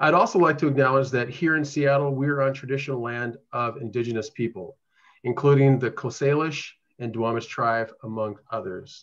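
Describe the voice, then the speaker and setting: A man talks at a moderate pace, his pitch varying in an ordinary way, with the background quiet. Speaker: presenter. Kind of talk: meeting presentation. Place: home room. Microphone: video call.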